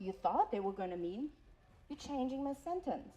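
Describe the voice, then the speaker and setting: With a non-native accent, a woman speaks in a high pitch with lively intonation. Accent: foreign. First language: not English. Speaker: college program coordinator and instructor. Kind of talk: workshop talk.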